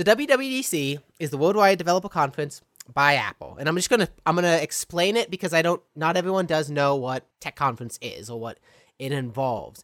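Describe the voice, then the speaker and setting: A man's fairly high voice, fairly quick and lively in intonation, in a dry, close recording with no echo. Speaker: podcast host. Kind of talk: casual chat. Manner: excitable.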